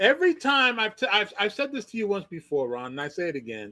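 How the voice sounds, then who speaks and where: A man's raised, projected voice, bright and sharp, with very wide pitch swings. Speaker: livestream show host. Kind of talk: casual chat. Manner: halting, stammering.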